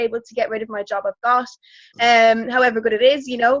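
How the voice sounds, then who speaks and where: At a very fast pace, a woman in an Irish accent speaks at a high pitch with monotone, flat intonation. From Ireland. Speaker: network marketing distributor. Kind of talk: testimony. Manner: hesitant, many fillers.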